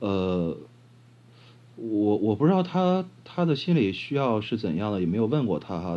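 The voice belongs to a man with a fairly low pitch. Its tone is dark and mellow. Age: 30s. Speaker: blind interviewee. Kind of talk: casual interview. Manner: halting, many fillers.

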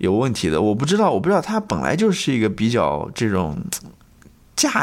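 At a moderate pace and medium pitch, a man talks with very wide pitch swings. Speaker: podcast co-host. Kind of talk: casual chat.

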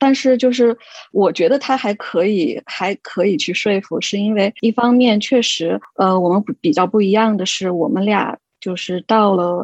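Dry and close with no echo, the recording has a woman with an unremarkable speaking voice talking fairly slowly at a medium pitch with ordinary pitch variation. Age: 30s. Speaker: expectant mother, education administrator. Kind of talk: casual group chat. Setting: online group recording.

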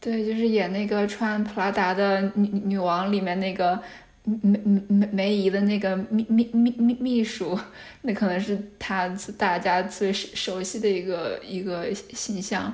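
A woman with a medium pitch speaks in a monotone, flat intonation. Her pace is fairly slow. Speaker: PhD candidate researching stuttering. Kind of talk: interview. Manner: frequent sound and syllable repetitions.

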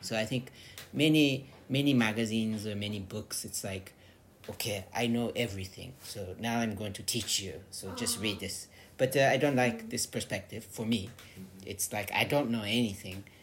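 In an American accent, a man talks at a moderate pace and medium pitch. His voice is somewhat breathy, with ordinary pitch variation. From California, US. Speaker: magazine editor. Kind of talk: casual interview. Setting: recorded in his old house in Tokyo, sitting across from hosts.

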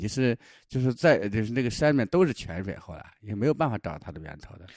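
On a very clean recording with a silent background, a man talks very fast at a medium pitch with lively intonation. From southern Shaanxi, China. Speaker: travel companion, local guide. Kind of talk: casual travel-diary chat. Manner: halting, repetitive fillers.

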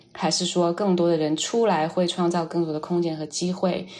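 Against noticeable background noise, a woman talks fairly quickly in a fairly low, flat monotone. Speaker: artist. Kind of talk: interview conversation.

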